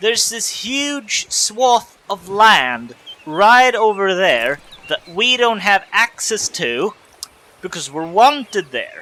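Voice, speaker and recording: The speech moves at a very slow pace. Background noise is noticeable throughout. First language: not English. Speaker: let's play gamer. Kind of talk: gameplay commentary. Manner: casual, hesitant with fillers.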